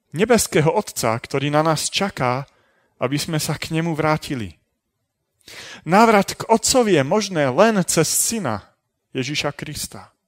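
A man's fairly high voice makes very wide pitch swings. He talks fairly slowly, the sound dry and close with no echo. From Slovakia, Trenčín. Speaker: preacher. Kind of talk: lecture.

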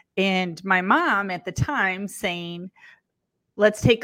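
On a very clean recording with a silent background, a woman with an American accent talks at a very slow pace, her fairly low pitch carrying a bright, sharp tone and fairly even intonation. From Lansing, Michigan. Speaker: mortgage executive and coach. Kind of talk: interview.

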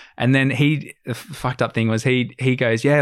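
A man with an Australian accent speaks at medium pitch with fairly even intonation. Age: 20s. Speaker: adventure videographer and sailor. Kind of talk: casual chat.

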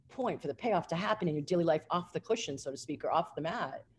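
Animated and upbeat, a woman with a fairly low pitch sounds somewhat breathy, her pitch swinging very widely. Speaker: mind body energy healer and author. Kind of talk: interview, conversational. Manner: animated, upbeat.

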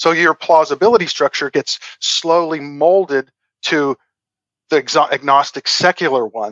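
A man speaks in an ordinary speaking voice at a fairly high pitch, with ordinary pitch variation and a fairly slow pace. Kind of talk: interview.

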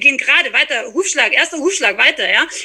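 Fairly quick speech from a woman comes through noticeable background noise. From Austria, small mountain village. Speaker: horse trainer and equine therapist. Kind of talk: casual interview.

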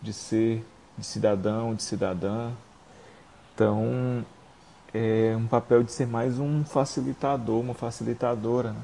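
This man speaks at a fairly slow pace with medium pitch, fairly even intonation, and long, frequent pauses. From Brazil, Fortaleza (Ceará). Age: 20s. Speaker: youth activist. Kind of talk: interview.

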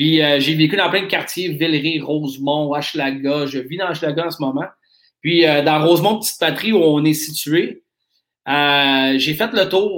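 The man talks at a fairly slow pace, his fairly high pitch showing ordinary variation. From Nova Scotia, Canada. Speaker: craft beer shop owner. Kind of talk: interview. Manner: halting.

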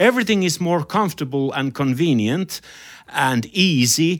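With a Finnish accent and lively intonation, a man speaks at a fairly slow pace on a very clean recording with a silent background. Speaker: podcast host and jazz musician. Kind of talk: interview.

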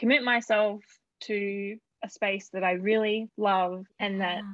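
In an Australian accent, a woman talks at a medium pitch. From Queensland, Australia. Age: 20s. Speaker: screenwriter and screenwriting student. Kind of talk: casual chat. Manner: slow.

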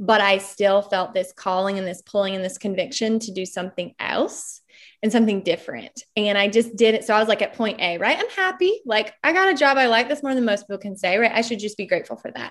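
A normal speaking voice at a fairly quick pace, with ordinary pitch variation over a quiet background. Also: woman, fairly high pitch for a woman. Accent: American. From Eastern North Carolina (Smithfield). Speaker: entrepreneur and speaker. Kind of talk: casual interview. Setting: video call.

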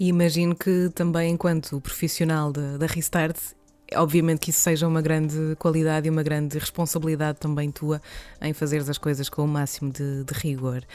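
A woman's very deep, low voice, dark and mellow, flat and monotone at a moderate pace. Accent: European Portuguese. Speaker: podcast host. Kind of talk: interview. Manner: halting.

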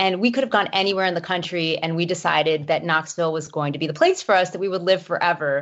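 A woman with an American accent and an ordinary speaking voice, fairly low in pitch, at a fairly quick pace. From US South, Miami, Florida. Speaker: moving expert and author. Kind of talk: interview.

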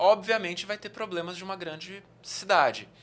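The speaker is male. His intonation moves up and down by a typical amount. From interior of São Paulo state (Araraquara), Brazil. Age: 30s. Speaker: travel youtuber. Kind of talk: casual chat. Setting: studio.

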